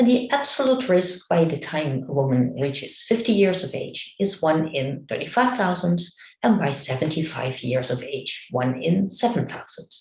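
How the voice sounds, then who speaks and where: The speaker has a Dutch accent and talks at a moderate pace with hardly any pauses. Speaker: medical researcher. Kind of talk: conference presentation. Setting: remote online talk. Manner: halting.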